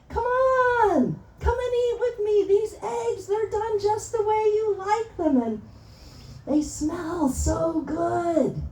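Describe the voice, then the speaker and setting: A woman does a squeaky put-on character voice at extremely high pitch, speaking at a very slow pace over clear background noise. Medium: stage play.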